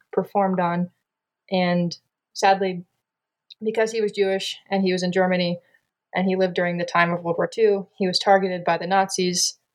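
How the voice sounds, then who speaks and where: Monotone, flat intonation at a moderate pace in an American accent. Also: woman. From Texas, San Antonio. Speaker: comic artist and author. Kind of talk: interview.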